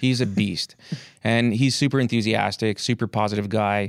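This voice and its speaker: The recording is very clean, with a silent background. A man speaks at a moderate pace in a fairly low pitch. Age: 40s. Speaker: army reservist and postal worker. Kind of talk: interview.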